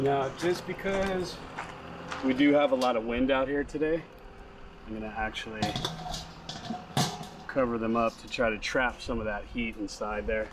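A man speaks at a moderate pace with ordinary pitch variation. He takes long, frequent pauses over noticeable background noise. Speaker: outdoor cooking vlogger. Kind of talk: casual vlog chat. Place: garden. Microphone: camera far.

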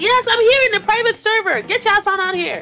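A woman's put-on character voice, squeaky and extremely high-pitched, shouting at a very fast pace over clear background noise. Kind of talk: gaming trash talk. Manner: shouting, aggressive.

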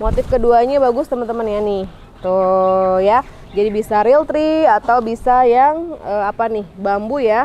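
A woman with a fairly high pitch and a dark, mellow tone speaks at a fairly slow pace with ordinary pitch variation, the sound dry with no echo and light noise behind her. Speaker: online shop admin and sales presenter. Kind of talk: sales pitch, product showcase. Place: garden.

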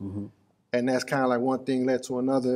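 Very fast speech from a man, with a quiet background behind him. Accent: American. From Chicago. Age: 40s. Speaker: podcast host. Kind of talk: casual interview. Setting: studio. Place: studio. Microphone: studio mic.

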